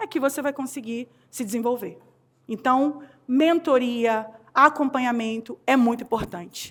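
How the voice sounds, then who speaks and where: A woman's high voice in a Rio de Janeiro accent, animated in tone, with ordinary pitch variation and a fairly slow pace. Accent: carioca. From Rio de Janeiro, Brazil. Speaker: HR consultant and speaker. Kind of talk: conference talk.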